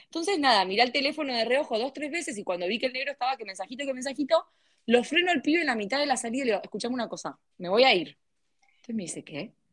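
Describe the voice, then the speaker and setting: A woman with an Argentine accent talks very fast in a high voice with lively intonation. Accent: Rioplatense Argentine Spanish. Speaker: podcast co-host. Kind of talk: casual chat.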